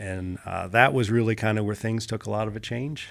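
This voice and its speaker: A normal speaking voice from a man with an American accent, fairly low in pitch, with fairly even intonation at a fairly quick pace. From Pittsburgh area, Pennsylvania, then California from age 11. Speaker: former marine and jiu-jitsu coach. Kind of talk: podcast interview. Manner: conversational, with many fillers.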